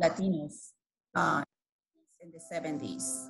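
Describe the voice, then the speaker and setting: Somewhat breathy, a woman speaks fairly slowly with a Spanish accent and ordinary pitch variation. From Guatemala. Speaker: community leader. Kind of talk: podcast interview. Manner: halting.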